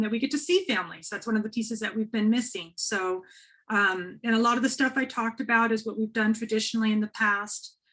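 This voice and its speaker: This woman has a plain, everyday voice, pitched fairly high. She talks at a fairly quick pace. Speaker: school administrator. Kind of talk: informational presentation. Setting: webinar.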